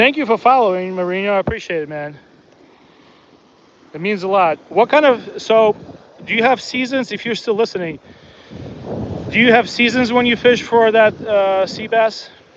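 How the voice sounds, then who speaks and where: A man talks at a high pitch and a moderate pace, with ordinary pitch variation. Long, frequent pauses break up his speech over noticeable background noise. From born in Soviet Union, raised in US. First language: not English (third language). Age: 40s. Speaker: fishing livestreamer. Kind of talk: casual livestream commentary. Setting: outdoors on beach. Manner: relaxed, chatty with fillers.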